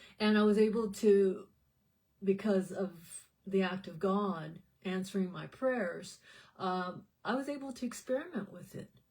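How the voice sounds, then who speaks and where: At a fairly slow pace, a woman speaks in a somewhat breathy voice, with long, frequent pauses. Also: medium pitch for a woman, ordinary pitch variation, big swings in loudness. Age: 60s. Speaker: health supplement promoter and vlogger. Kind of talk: casual vlog monologue. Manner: halting, with many fillers and repeats.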